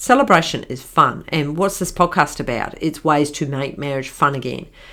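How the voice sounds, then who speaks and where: A woman with a strong New Zealand accent speaks at a moderate pace, her very deep, low pitch carrying a bright, sharp tone. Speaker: marriage counsellor and podcast host. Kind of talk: podcast monologue. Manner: hesitant, many fillers.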